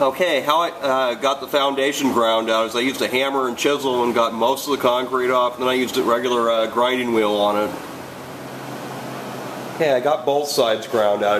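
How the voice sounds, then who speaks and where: Noticeable background noise sits under the recording. A man speaks at a fairly quick pace with fairly even intonation. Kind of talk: casual how-to narration. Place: garage. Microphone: phone near.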